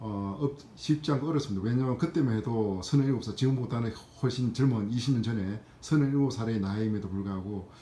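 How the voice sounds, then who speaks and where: At a fairly quick pace, a man speaks in a dark, mellow tone of medium pitch with ordinary pitch variation. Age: 50s. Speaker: civil servant sharing exam experience. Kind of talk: personal testimony vlog. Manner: hesitant with frequent fillers.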